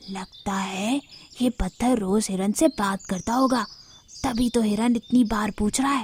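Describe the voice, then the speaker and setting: This cartoonish character voice shows ordinary pitch variation and has a dry, close sound with no echo. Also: woman, fairly high pitch for a woman, moderate pace. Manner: dim-witted, blundering.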